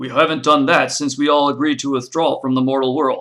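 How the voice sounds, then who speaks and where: A man's put-on character voice, fairly high in pitch, at a fairly quick pace. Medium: read story. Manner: commanding.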